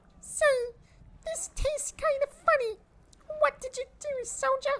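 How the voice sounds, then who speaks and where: The pitch of this put-on character voice is extremely high. Its pace is moderate. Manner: suspicious, gruff.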